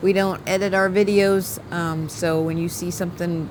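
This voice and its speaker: Amid noticeable background noise, a woman talks at a fairly low pitch with ordinary pitch variation. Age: 50s. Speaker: video creator, wife. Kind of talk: casual chat.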